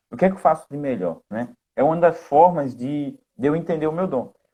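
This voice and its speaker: With lively intonation and a dark, mellow tone, a man speaks fairly quickly at a fairly high pitch. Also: quiet background. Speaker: live co-host. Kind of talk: casual live chat. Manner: fast.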